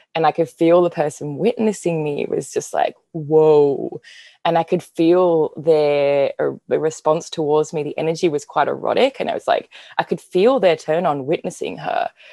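Against a quiet background, a woman talks at a moderate pace, the sound dry and close with no echo. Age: 30s. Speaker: women's embodiment facilitator and former dancer. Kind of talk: casual conversational interview.

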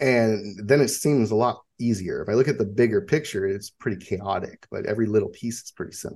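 An unremarkable speaking voice from a man at medium pitch, fairly quick and with hardly any pauses, with ordinary pitch variation and big swings in loudness. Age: 30s. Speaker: military veteran and horse business owner. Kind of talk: interview.

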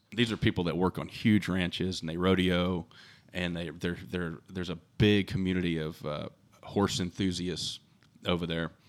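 In a Texan accent, a man talks at a moderate pace with a very deep, low pitch. The recording is very clean, with a silent background. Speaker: custom hat maker, family business owner. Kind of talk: interview. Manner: halting with fillers.

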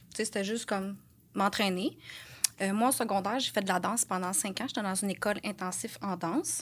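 In a very clean recording with a silent background, a woman has a plain, everyday voice. Her medium pitch and fairly even intonation come at a fairly quick pace. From Quebec, Lanaudière. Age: 30s. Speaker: correctional officer, fitness coaching client. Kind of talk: casual interview.

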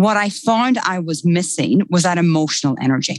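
In an Irish accent, a woman talks at a moderate pace and a medium pitch. Her intonation is lively, and the sound is dry and close with no echo. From Ireland. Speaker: time management expert. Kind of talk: casual interview.

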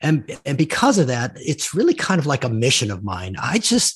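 Against a quiet background, a man speaks at a fairly high pitch in a somewhat breathy voice. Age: 60s. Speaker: executive coach and author. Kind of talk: interview.

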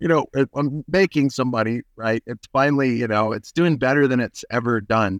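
A man talks at a moderate pace with hardly any pauses, in an unremarkable speaking voice. The sound is dry and close with no echo, against a quiet background. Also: medium pitch for a man, ordinary pitch variation. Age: 40s. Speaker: minimalist sandal maker and company founder. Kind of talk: casual interview.

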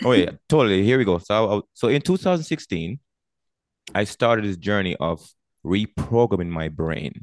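A man talks at a moderate pace in a normal speaking voice, fairly low in pitch with lively intonation. The sound is dry and close, with no echo. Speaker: army veteran and life coach. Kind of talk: interview.

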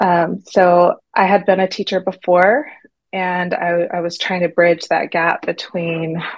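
In a plain, everyday voice, a woman with an American accent talks at a fairly slow pace, her pitch fairly low and her intonation fairly even. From Texas. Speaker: teacher and divorce story guest. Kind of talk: interview storytelling.

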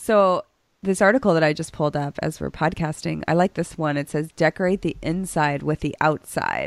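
A woman with an American accent and a normal speaking voice, fairly low in pitch with ordinary variation, at a moderate pace, in a very clean, dry, close recording with a silent background and no echo. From Chicago and Boston suburb, US. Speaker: coach and podcast co-host. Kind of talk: casual chat.

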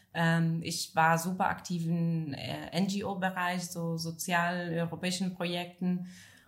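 A somewhat breathy voice at a very slow pace, with monotone, flat intonation. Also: woman, fairly low pitch for a woman. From northern Italy, Friuli. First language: Italian (speaking German). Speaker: café entrepreneur. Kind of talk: casual interview chat. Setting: café back room. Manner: halting.

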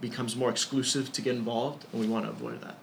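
With an American accent, a man of medium pitch speaks in a plain, everyday voice and fairly even intonation. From Ecuador, raised in the US from childhood. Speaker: student government president. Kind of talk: interview. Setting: in person.

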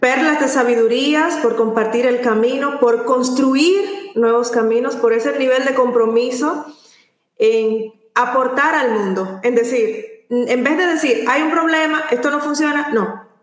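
Amid audible room echo, a woman speaks at a very slow pace in a high pitch. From Latin America. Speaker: podcast host. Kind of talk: interview. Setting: live stream.

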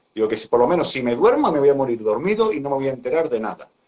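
The speaker is a man. His pitch rises and falls across a very wide range. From Seville, southern Spain. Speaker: athlete and Crohn's patient. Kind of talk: live-stream interview.

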